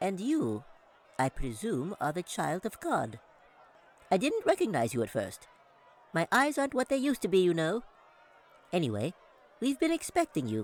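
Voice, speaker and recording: A man puts on a squeaky character voice, pitched high, talking at a moderate pace with long, frequent pauses. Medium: read story. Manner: chatty, grandfatherly.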